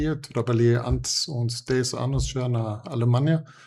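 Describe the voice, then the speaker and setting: A man with a German accent, medium pitch, a somewhat breathy voice and a fairly slow pace. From Germany. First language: German (speaking Portuguese). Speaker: former executive, leadership developer. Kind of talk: interview podcast. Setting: in person.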